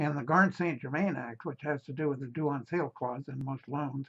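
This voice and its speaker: This man's voice is somewhat breathy. His pitch is fairly high. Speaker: real estate investment presenter. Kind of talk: promotional talk inviting to a meeting. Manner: hesitant, many fillers.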